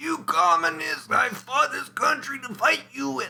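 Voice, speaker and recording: A man speaks in a put-on character voice, pitched extremely high. His voice is raised and projected, and he talks at a fairly slow pace. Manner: shouting, indignant.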